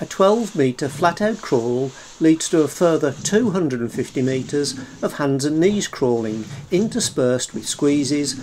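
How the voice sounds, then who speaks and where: The pace is fairly slow, with light background noise underneath. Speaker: expedition narrator. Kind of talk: documentary narration.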